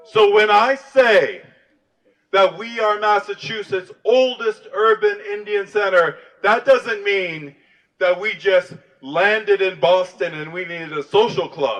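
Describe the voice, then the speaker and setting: At a fairly slow pace, a man with an American accent speaks in a high pitch, with ordinary pitch variation and big swings in loudness. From US South, Louisiana (New Orleans). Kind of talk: rally speech. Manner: impassioned.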